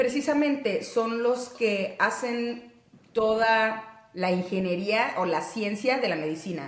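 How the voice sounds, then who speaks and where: A woman's fairly high voice with lively intonation at a very slow pace, with audible room echo and noticeable background noise. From Mexico, Monterrey. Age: 30s. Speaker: physician and interviewee. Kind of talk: interview.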